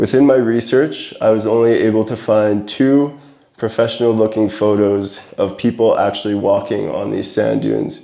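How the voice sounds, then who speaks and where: A man's fairly low, dark, mellow voice at a moderate pace, with fairly even intonation. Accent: Canadian. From Alberta, Canada. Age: 20s. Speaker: adventure photographer. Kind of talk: presentation to a camera club. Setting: talk to a club audience.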